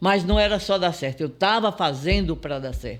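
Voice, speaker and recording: A man's high voice at a fairly slow pace, full of lively intonation, in a very clean recording over a silent background. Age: 70s. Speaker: entrepreneur and business mentor. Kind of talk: interview. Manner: animated.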